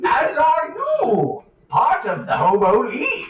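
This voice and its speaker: A put-on character voice, pitched high and delivered at a fairly slow pace, with a slight echo. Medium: actual play. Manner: rambling, fussy, old-fashioned.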